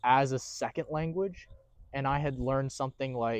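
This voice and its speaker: A man with an American accent speaks at a moderate pace in a normal speaking voice. His pitch is medium, and the background is quiet. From USA. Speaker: film crew worker. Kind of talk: casual chat. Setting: outdoors in a tent.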